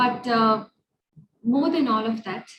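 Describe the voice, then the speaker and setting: A woman speaks at a moderate pace in a fairly high, somewhat breathy voice with ordinary pitch variation. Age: 30s. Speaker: teacher. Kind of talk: interview answer.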